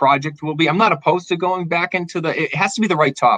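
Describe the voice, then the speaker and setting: A man speaks with a Boston accent in a bright, sharp tone. The sound is dry and close, with no echo. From Massachusetts, south of Boston (Dartmouth). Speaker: documentary filmmaker. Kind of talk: casual interview.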